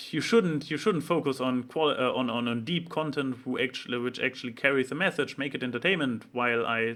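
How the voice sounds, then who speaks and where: In a German accent, a man talks at a medium pitch with ordinary pitch variation. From Germany. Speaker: vlogger. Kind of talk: casual vlog monologue. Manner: halting, many fillers and restarts.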